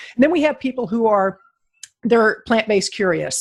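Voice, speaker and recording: An ordinary speaking voice from a woman, fairly high in pitch with lively intonation. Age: 60s. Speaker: podcast host. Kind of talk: interview.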